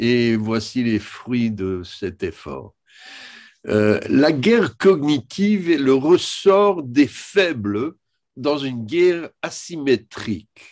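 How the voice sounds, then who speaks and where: With an English accent, a man speaks very slowly at a medium pitch. His pitch swings very widely. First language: English (speaking French). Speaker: historian. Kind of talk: lecture. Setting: video conference. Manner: halting, with many hesitations.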